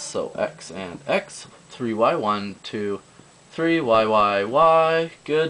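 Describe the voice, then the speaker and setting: With lively intonation, a man speaks at medium pitch over noticeable background noise. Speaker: math tutorial video maker. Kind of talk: tutorial. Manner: hesitant, many fillers and self-corrections.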